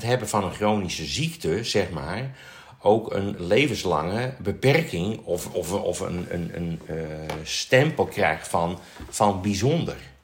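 Speaking very slowly, a man with fairly low pitch uses lively intonation. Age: 60s. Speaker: nurse. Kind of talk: casual chat. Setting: studio. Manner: halting.

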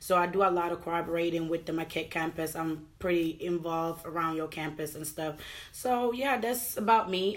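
This is an unremarkable speaking voice at a moderate pace. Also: woman. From New York and Madison, Wisconsin (born in Gambia). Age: 20s. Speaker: university student. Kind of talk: casual chat.

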